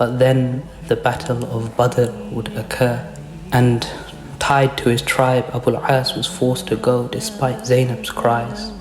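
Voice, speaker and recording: A soft-spoken, calm man at a fairly slow pace, ordinary pitch variation, and noticeable background noise. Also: medium pitch for a man. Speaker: storyteller / narrator of Islamic history. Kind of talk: soft-spoken Islamic storytelling narration.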